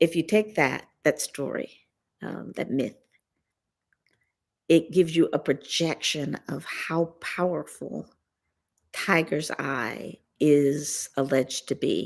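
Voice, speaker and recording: A woman with a very deep, low voice and vocal fry speaks at a very slow pace, with long, frequent pauses, ordinary pitch variation and big swings in loudness. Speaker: gem and mineral class teacher. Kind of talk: lecture. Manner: casual, conversational.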